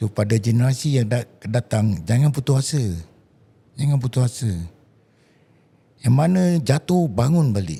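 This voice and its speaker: A man with a medium pitch and a dark, mellow tone sounds somewhat breathy, with lively intonation and very even loudness. He goes at a fairly slow pace, with long, frequent pauses. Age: 70s. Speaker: watchmaker. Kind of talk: interview.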